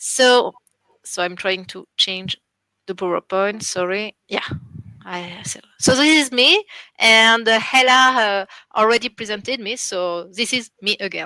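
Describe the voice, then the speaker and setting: In a French accent, a woman with a fairly high pitch and a bright, sharp tone speaks at a fairly slow pace, with ordinary pitch variation, big swings in loudness, and a dry, close sound with no echo. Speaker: international relations officer at a library school. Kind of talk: online seminar presentation. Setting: online seminar. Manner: halting, many fillers.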